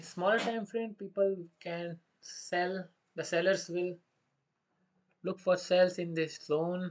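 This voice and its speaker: Someone with an Indian accent speaks at a fairly slow pace. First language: Hindi. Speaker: day trader streaming live trades. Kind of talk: live trading commentary. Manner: thinking aloud with hesitations; halting non-fluent English.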